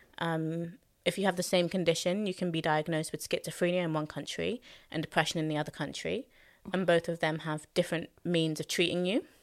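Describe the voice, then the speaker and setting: A woman talks at a fairly quick pace with a London accent, her pitch fairly low and her intonation fairly even. The recording is very clean, with a silent background. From London, Hackney. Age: 20s. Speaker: soul singer and songwriter. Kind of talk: casual chat.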